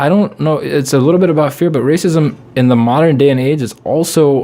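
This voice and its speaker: Speaking at a fairly quick pace, a man with a non-native accent has a dark, mellow tone. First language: not English. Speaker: comedian. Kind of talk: casual chat.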